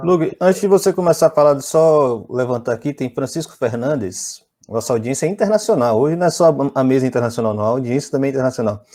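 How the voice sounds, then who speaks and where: Talking at a very fast pace with hardly any pauses, a man uses lively intonation, a fairly high pitch and a dark, mellow tone. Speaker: live stream host. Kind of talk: live panel discussion.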